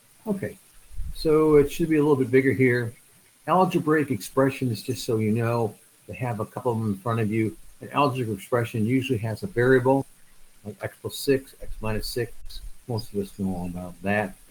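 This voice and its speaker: A man's somewhat breathy, medium-pitched voice with lively intonation at a fairly quick pace. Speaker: math instructor. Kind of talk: online lecture. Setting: online video class. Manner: hesitant with fillers; fast.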